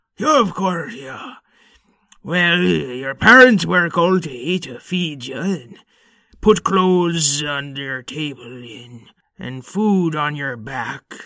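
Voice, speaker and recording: A man puts on a fairly high-pitched character voice, speaking at a very slow pace. His intonation is lively and his loudness swings widely. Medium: audio drama. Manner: loud, blustering.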